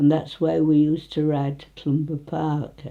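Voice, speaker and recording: In a Nottinghamshire accent, a woman speaks at a fairly slow pace with a very deep, low pitch and a dark, mellow tone. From northern England, Retford, Nottinghamshire. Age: 90s. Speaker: elderly local resident. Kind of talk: casual reminiscing interview.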